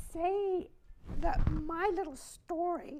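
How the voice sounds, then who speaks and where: A woman's extremely high voice with a dark, mellow tone, a very slow pace and audible room echo. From Germany. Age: 90s. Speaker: Holocaust survivor. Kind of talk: fireside chat. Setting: stage with audience.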